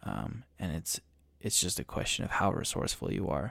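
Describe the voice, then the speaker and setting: Lively intonation with vocal fry. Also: man. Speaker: podcast host, amateur golfer. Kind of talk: solo monologue podcast. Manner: halting, many repeated words and fillers; meandering.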